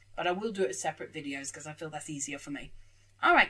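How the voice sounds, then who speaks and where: The voice belongs to a woman. Her accent is British. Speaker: anime reaction youtuber. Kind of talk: casual reaction commentary.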